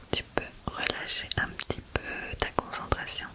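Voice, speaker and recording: A soft-spoken woman talks at a very slow pace over loud background noise. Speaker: ASMR creator. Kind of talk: soft-spoken ASMR guided relaxation. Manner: soft, hushed ASMR voice close to mic. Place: home room. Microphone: studio mic.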